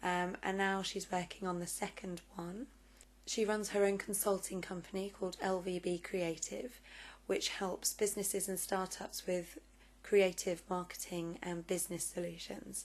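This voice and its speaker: Monotone, flat intonation at a moderate pace, in a southern English accent. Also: woman, medium pitch for a woman. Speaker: vlogger and interviewer. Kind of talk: vlog introduction and interview.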